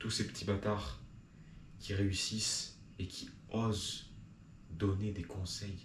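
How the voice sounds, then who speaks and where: A man speaks with a very deep, low pitch and vocal fry, keeping his intonation fairly even. Audible room echo surrounds the voice. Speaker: video blogger. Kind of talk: improvised monologue to camera. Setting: talking to a camera.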